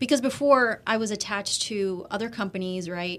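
This is an ordinary speaking voice at a fairly quick pace. The recording is very clean, with a silent background. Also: woman. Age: 30s. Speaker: media host and brand strategist. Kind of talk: casual interview. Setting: studio.

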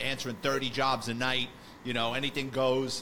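At a moderate pace and medium pitch, a man speaks with a New York accent. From New York City, the Bronx. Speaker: retired police detective, podcast host. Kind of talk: casual interview chat.

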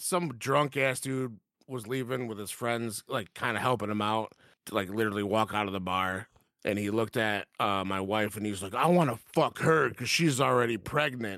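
A man with an American accent speaks at a moderate pace and medium pitch, with ordinary pitch variation and a bright, sharp tone. The recording is very clean, with a silent background. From Mexican heritage, Michigan. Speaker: guest. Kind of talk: casual chat. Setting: pub.

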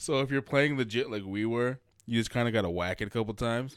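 A man with an American accent speaks fairly quickly in a plain, everyday voice, at a medium pitch with ordinary pitch variation, in a very clean recording with a silent background. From Massachusetts. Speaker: wrestling podcast host. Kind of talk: casual chat.

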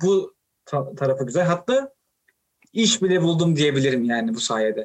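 This is a normal speaking voice. It moves at a moderate pace. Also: man. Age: 20s. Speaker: podcast host. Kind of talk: interview.

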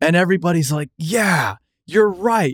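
A man with an American accent and an unremarkable speaking voice talks at a fairly slow pace with lively intonation, in a very clean recording with a silent background and a dry, close sound with no echo. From US Southwest. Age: 20s. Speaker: podcast host. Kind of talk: casual interview chat.

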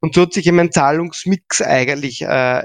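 At a moderate pace, the speech comes across dry and close with no echo against a quiet background. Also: man. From Austria, Graz. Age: 40s. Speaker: payment entrepreneur and business angel. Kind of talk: interview. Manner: halting, many fillers and repetitions.

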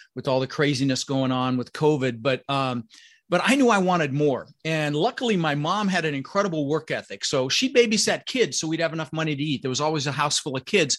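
A normal speaking voice: a man with an American accent, fairly high pitch, lively intonation and a fairly quick pace against a quiet background. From Colorado. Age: 60s. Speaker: real estate investor. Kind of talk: interview.

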